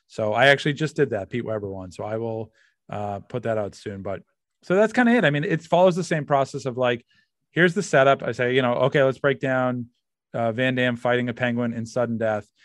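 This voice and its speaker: Someone with an American accent talks at a fairly quick pace. The pitch varies by an ordinary amount. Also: man, medium pitch for a man, quiet background. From Massachusetts. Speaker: comedian. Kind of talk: casual interview chat. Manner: halting, many fillers.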